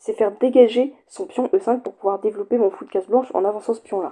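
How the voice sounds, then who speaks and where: The woman's tone is dark and mellow, with fairly high pitch. She talks at a very fast pace. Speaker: chess YouTuber. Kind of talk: chess game commentary.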